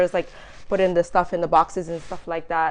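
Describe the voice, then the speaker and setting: In an African accent, a woman talks with monotone, flat intonation. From Gambia. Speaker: entrepreneur, business founder. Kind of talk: interview.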